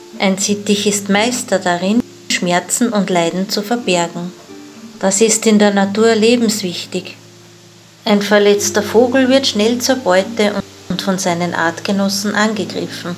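Over clear music in the background, a woman talks at a fairly slow pace with long, frequent pauses and fairly even intonation. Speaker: pet care vlogger. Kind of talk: tutorial. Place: forest. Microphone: phone near.

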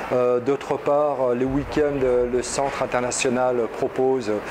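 Background noise can be clearly heard. The voice belongs to a man. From France. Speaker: student of Arabic giving testimonial. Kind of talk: video testimonial review. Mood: positive, calm. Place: office. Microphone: lapel.

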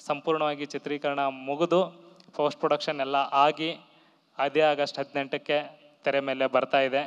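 A man speaks with monotone, flat intonation in a fairly high voice. His loudness stays very even. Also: quiet background. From north Karnataka (Gadag district); Karnataka. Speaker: film director. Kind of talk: stage speech. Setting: stage with audience. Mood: grateful, reflective. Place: stage. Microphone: handheld.

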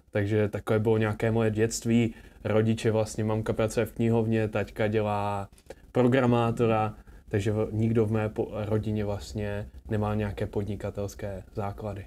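Over light background noise, a man speaks at a moderate pace in a fairly low pitch. His tone is dark and mellow, and his intonation is monotone and flat. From Czechia, Zlín; Czechia. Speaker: entrepreneur; interview guest. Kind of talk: casual interview. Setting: rented luxury apartment. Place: studio. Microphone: lapel.

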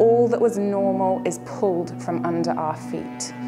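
A woman speaks at a very slow pace. Music is clearly heard behind her. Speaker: spoken word poet. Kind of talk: spoken word poetry performance. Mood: earnest, expressive, hopeful. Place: home room.

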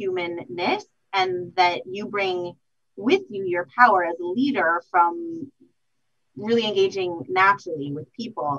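A woman speaks at a fairly slow pace with lively intonation. The background is quiet. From US Southwest. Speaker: police intelligence official; panelist. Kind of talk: panel discussion. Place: office.

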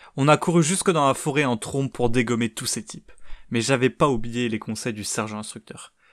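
A man talks at a fairly quick pace in a medium pitch, with ordinary pitch variation and big swings in loudness. The recording is very clean with a silent background, and the sound is dry and close with no echo. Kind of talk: sci-fi audio drama, in-character soldier monologue. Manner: gruff, colloquial, animated.

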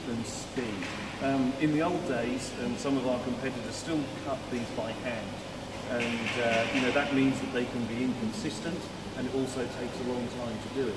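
Over loud background noise, a man talks at a moderate pace. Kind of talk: interview answer. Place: factory. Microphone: camera far.

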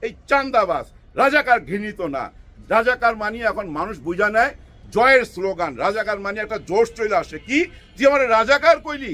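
Raised and projected, a man's high-pitched voice has a bright, sharp tone and lively intonation. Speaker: political commentator. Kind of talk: political commentary monologue. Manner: animated, rhetorical.

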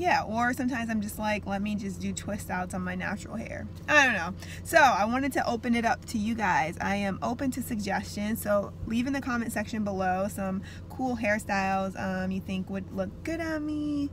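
Light background noise sits behind a woman's voice. She speaks at a moderate pace in a dry sound with no echo. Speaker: vlogger. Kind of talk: casual vlog chat. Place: car. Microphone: phone near.

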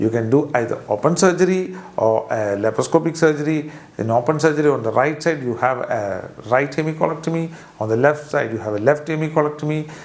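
A man with a Keralan accent, fairly quick pace and ordinary pitch variation. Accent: Indian English (Malayali). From Kerala, India. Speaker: surgeon. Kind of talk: medical explainer video. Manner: hesitant, with frequent fillers. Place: office. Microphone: lapel.

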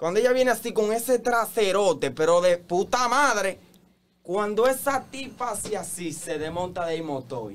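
A man talks in a Dominican Cibao accent, his pitch high and his intonation lively. His pace is fairly slow. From Dominican Republic, Santiago; Dominican Republic. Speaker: TikTok content creator. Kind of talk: casual interview chat. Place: studio. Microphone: studio mic.

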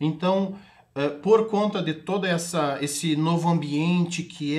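A somewhat breathy man at a very slow pace. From Brazil, Rio Grande do Sul (Itaqui, western border); Rio Grande do Sul, Brazil. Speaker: sales executive and NFT entrepreneur; sales executive. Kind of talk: TV interview. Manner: hesitant with many fillers. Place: studio.

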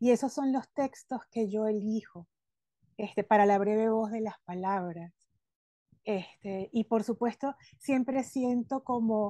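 A woman's fairly high, dark and mellow voice at a very slow pace, with ordinary pitch variation, dry sound with no echo and a quiet background. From Venezuela. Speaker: podcast host and former advertising copywriter; podcast host. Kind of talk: casual interview chat. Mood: warm, enthusiastic. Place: home room. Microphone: video call.

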